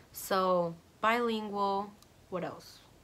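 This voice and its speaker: The voice has a bright, sharp tone and sounds animated throughout. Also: woman. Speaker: YouTuber. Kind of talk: casual vlog storytime.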